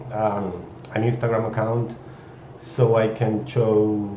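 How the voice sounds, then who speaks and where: A man with a Chilean Spanish accent, audible room echo and noticeable background noise. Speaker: 3D artist. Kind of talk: live stream introduction. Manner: halting, many fillers.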